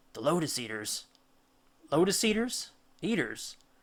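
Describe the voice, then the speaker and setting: A man's put-on character voice, high in pitch with very wide pitch swings, at a moderate pace. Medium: read story. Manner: anxious, questioning.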